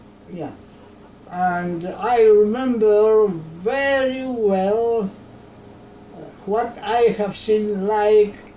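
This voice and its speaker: With audible room echo, a woman speaks at a medium pitch and a very slow pace, with ordinary pitch variation. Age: 90s. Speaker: genocide survivor and author. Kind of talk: interview. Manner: halting.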